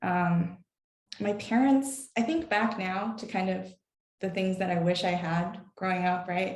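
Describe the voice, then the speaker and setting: Somewhat breathy, a woman at medium pitch speaks at a fairly slow pace with ordinary pitch variation. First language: Chinese. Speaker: tech company employee. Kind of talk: panel discussion. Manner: halting.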